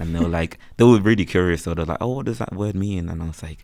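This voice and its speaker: Talking at a very fast pace, a man with a strong Birmingham accent has a very deep, low voice, a dark, mellow tone and ordinary pitch variation. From West Midlands, Birmingham. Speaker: freelance photographer and content creator. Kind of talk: casual chat. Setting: podcast recorded on campus. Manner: casual, filler-heavy speech.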